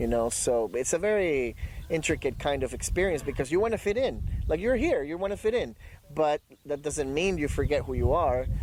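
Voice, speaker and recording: This man has a fairly high pitch and speaks with a Spanish accent. His pitch swings very widely. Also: fairly quick pace. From Ecuador, Guayaquil (moved to US at 17). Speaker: dog trainer and poet. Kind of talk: interview. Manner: halting, many fillers.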